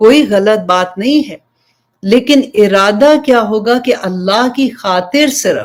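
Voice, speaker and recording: This woman has an unremarkable speaking voice, pitched fairly high, with ordinary pitch variation and big swings in loudness. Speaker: Islamic preacher, religious teacher. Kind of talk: Islamic sermon (bayan) to an audience.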